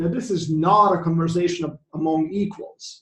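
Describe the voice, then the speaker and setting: A man with a Croatian accent speaks in a high voice with fairly even intonation. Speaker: economics professor. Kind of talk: conference presentation. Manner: halting, many fillers.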